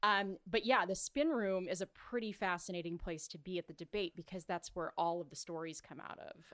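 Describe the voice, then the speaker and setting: A woman with an American accent and a normal speaking voice, medium in pitch with ordinary pitch variation, at a fairly quick pace with hardly any pauses and big swings in loudness, dry and close with no echo. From California, Orange County. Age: 30s. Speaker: events and live broadcast producer. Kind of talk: casual interview.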